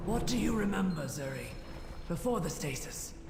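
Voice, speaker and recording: Delivered in a put-on character voice at middle pitch and moderate pace, the speech has a slight echo and loud background noise. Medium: virtual streamer. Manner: calm, purposeful.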